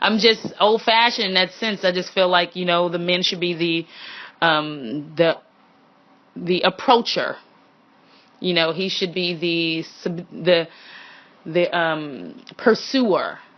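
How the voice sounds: The speech moves at a slow pace with ordinary pitch variation. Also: woman, fairly low pitch for a woman.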